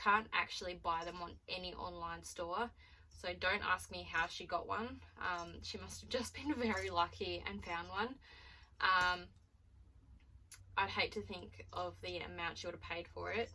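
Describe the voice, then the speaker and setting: A woman talks with an Australian accent. Her pace is moderate, and her loudness swings a lot. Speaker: vlogger. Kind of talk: casual vlog unboxing.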